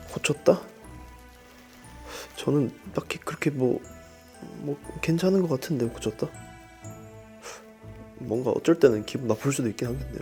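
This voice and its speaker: With music in the background, a man speaks at a moderate pace and medium pitch, using ordinary pitch variation and long, frequent pauses. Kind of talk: group interview answer.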